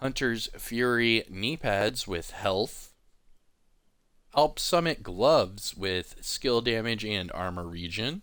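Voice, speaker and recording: In a very clean recording with a silent background, a man with an American accent and medium pitch speaks at a very slow pace with lively intonation. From US South, East Coast. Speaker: gaming YouTuber. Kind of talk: game commentary.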